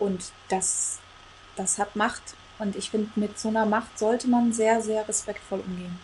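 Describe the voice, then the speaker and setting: Her voice is somewhat breathy and fairly high in pitch. The woman keeps a fairly slow pace with monotone, flat intonation. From Congo. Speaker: coach. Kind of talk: casual interview.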